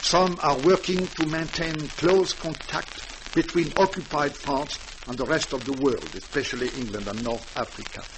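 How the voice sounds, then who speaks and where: Amid noticeable background noise, a man with a fairly high pitch talks at a moderate pace with ordinary pitch variation and hardly any pauses. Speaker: French guest speaker, doctor, broadcast talk. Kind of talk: formal radio address / interview answer.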